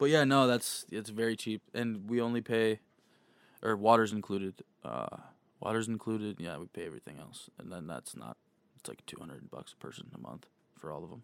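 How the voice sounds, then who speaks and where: With a plain, everyday voice, a man speaks at a fairly low pitch and a fairly quick pace, his lively intonation marked by big swings in loudness, in a dry, close sound with no echo. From born in Kansas, moved in fifth grade. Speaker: podcast host. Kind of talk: casual chat.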